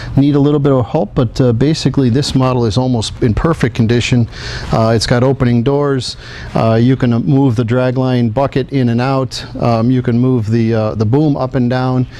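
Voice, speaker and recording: A man talks at a moderate pace with very even loudness, medium pitch and fairly even intonation. Background noise is noticeable. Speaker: president of a diecast model company, auction previewer. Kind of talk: auction preview presentation of collectible models.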